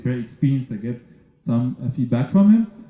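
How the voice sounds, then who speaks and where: A man with a medium-pitched, somewhat breathy voice. He talks at a fairly quick pace in a dark, mellow tone. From Egypt. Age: 30s. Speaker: entrepreneur and festival speaker. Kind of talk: conference talk. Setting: stage with audience. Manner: halting, many fillers.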